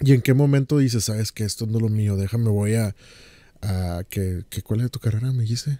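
A man speaks at medium pitch and a moderate pace, with ordinary pitch variation. His tone is dark and mellow, and the sound is dry and close with no echo. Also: very clean recording, silent background. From Mexico, Monterrey. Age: 30s. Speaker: podcast host, ASMR creator. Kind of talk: casual interview chat.

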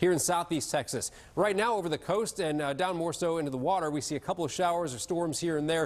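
A man talking very fast in a high voice, with hardly any pauses. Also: ordinary pitch variation. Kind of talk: weather forecast presentation. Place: studio. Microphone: lapel.

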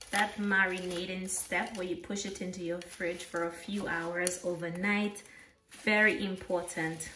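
Against light background noise, a woman speaks at a fairly slow pace. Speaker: home cooking channel host. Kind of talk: cooking tutorial chat. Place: kitchen.

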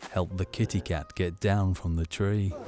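The speaker keeps a moderate pace. Background music accompanies the speech. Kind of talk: children's educational film narration.

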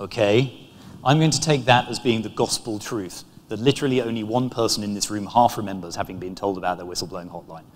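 Here a man speaks at a fast pace with fairly low pitch. His pitch varies in an ordinary way.

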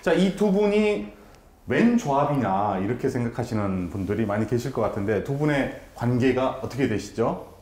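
A man speaks at a moderate pace in an animated tone, his pitch swinging very widely. Room echo is audible. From South Korea. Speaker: talk show host. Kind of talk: interview talk show. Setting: baseball center, recorded on location. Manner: animated, talkative. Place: studio. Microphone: lapel.

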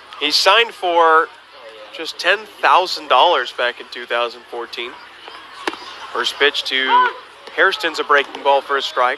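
With noticeable background noise, a man speaks at a fairly high pitch and a fairly slow pace, with lively intonation and long, frequent pauses. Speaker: baseball radio broadcaster. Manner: brisk, upbeat play-by-play, pitch-by-pitch calls with stat asides.

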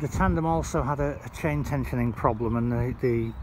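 Over noticeable background noise, a man speaks with ordinary pitch variation in a dry recording with no echo. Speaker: bike seller. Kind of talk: casual product walkaround. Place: open country. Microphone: phone near.

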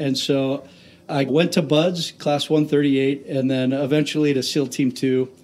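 This man has an American accent and a fairly high pitch. His tone is dark and mellow, and his intonation is fairly even. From US Pacific Northwest (Tacoma, Washington). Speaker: aircraft carrier commanding officer, naval aviator. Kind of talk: interview. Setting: on location at a shipyard.

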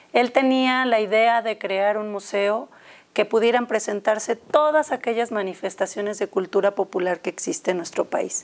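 A woman with a plain, everyday voice speaks at a moderate pace, fairly high in pitch with ordinary pitch variation. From Mexico. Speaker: museum educator. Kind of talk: studio interview. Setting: studio. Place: studio. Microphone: lapel.

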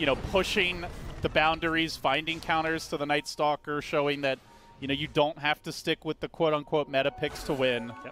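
A man is speaking at a moderate pace. Behind him, noticeable background noise can be heard. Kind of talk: esports commentary. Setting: broadcast esports commentary over game footage. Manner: excitable, with laughs.

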